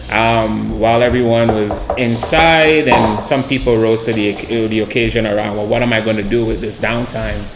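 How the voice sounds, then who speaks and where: A man at a medium pitch and moderate pace, with fairly even intonation, audible room echo, and noticeable background noise. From Trinidad. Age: 30s. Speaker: mindset and wellness coach. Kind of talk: casual interview chat.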